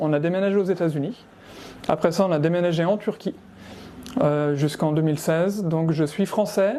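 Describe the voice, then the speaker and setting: The speech moves at a moderate pace. Loudness stays very even throughout. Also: man. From France, Savoie. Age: 40s. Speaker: amateur musician. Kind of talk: interview. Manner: hesitant, with many fillers.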